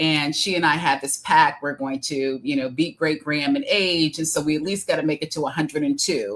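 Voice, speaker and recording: Speaking fairly quickly with hardly any pauses, a woman with a Midwestern accent has a very deep, low pitch and ordinary pitch variation. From Detroit, Michigan, US Midwest. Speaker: executive coach and author. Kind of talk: interview. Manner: hesitant, many fillers.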